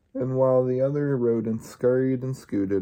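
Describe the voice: The speaker does plain reading aloud, keeping the intonation fairly even.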